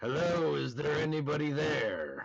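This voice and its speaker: The put-on character voice is raspy. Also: man. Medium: actual play. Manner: formal, measured.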